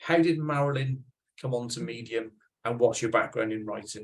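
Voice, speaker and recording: Somewhat breathy and in a Welsh accent, a man speaks at a medium pitch and a moderate pace with fairly even intonation. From Wales. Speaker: podcast host. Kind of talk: casual interview.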